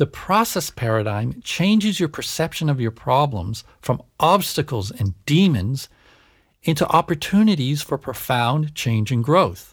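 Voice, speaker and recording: A man speaks fairly slowly in a fairly high, somewhat breathy voice. His pitch swings very widely on a very clean recording with a silent background. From Canada. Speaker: psychologist and podcast host. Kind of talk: solo podcast monologue.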